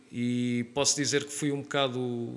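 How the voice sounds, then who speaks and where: A man speaks in an unremarkable speaking voice at a medium pitch. His intonation is fairly even. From Portugal, Lisbon area (Oeiras/Carcavelos). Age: 30s. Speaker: calisthenics trainer. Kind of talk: podcast interview.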